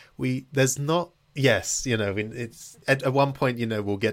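Speaking at a fairly quick pace with a British accent, a man uses ordinary pitch variation in a very clean recording with a silent background. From Britain. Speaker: podcast host. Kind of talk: interview; casual chat.

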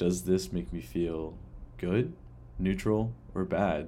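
With audible room echo, a man speaks fairly slowly at a very deep, low pitch, his tone dark and mellow and his intonation lively. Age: 20s. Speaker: podcast host. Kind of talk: personal reflective monologue.

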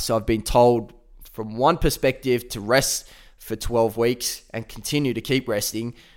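A man with an Australian accent talks at a fairly slow pace with fairly even intonation. The recording is very clean, with a silent background. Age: 20s. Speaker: former footballer, podcast host. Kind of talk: personal storytelling monologue. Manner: casual, conversational.

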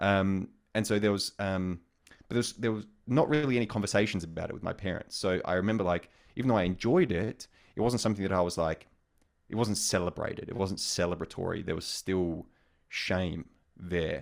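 Talking at a fairly quick pace, the man has an Australian accent. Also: ordinary pitch variation. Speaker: sex coach and sexologist. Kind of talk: intimate interview conversation. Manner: hesitant, many fillers.

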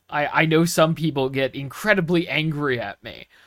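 A man with a plain, everyday voice and an American accent speaks at a fairly high pitch. His pace is fairly slow with ordinary pitch variation, in a very clean recording with a silent background. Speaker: podcast host. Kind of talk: casual chat.

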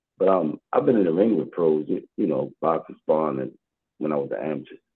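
With ordinary pitch variation, a man talks at a fairly quick clip. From Baltimore, Maryland (US). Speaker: boxing coach. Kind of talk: casual interview.

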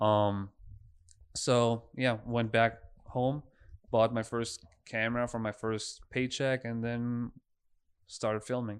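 A man with a German accent talks at a very slow pace in a medium pitch, with long, frequent pauses. His intonation is monotone and flat, and the background is quiet. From Germany. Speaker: filmmaker. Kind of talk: casual chat.

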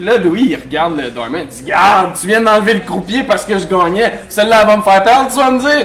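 A man with a Quebec accent at a fairly quick pace, amid noticeable background noise and audible room echo. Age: young. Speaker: bartender and DJ. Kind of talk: casual interview before live audience. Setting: bar with live audience.

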